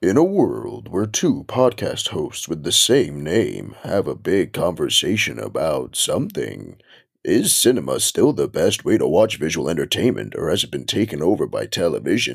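A man puts on a character voice and keeps a moderate pace. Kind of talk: epic trailer narration.

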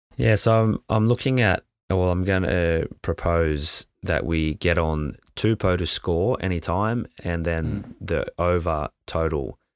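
A man with an Australian accent, very deep and low in pitch, at a very slow pace with hardly any pauses. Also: ordinary pitch variation. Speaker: sports betting podcast co-host. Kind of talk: casual chat. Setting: on lunch break at a conference.

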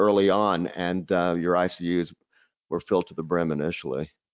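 A man at a moderate pace. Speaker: podcast host, physician. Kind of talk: interview.

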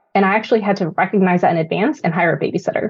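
A woman speaks very fast with an American accent. Her somewhat breathy voice carries lively intonation. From Northern California. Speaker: Army veteran and corporate manager. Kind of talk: interview.

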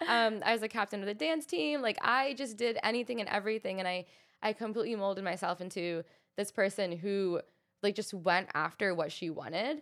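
A woman's normal speaking voice at a medium pitch, with lively intonation and a fairly quick pace. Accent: American. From US South (Texas, Arkansas). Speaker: model and content creator. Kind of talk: interview.

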